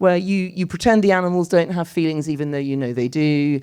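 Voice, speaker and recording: A woman speaks in a dark, mellow tone with a British accent. The background is quiet. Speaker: writer and architect speaking at a public debate. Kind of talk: public talk in a panel debate. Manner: fast.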